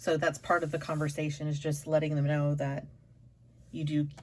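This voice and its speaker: Her very deep, low voice somewhat breathy, a woman speaks at a moderate pace. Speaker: tarot reader. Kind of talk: tarot reading. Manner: halting, stumbling over words.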